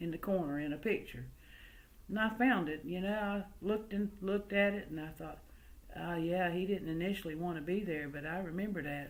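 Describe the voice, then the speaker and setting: With a slight Southern US accent, the speaker moves at a fairly quick pace with ordinary pitch variation. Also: woman. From US South, early childhood in West Virginia coalfields. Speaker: oral history storyteller. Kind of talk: storytelling. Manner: folksy, conversational.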